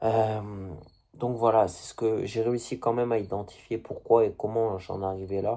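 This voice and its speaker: A man at a medium pitch, fairly slow pace and monotone, flat intonation. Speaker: video blogger. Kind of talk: casual monologue to camera. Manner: halting.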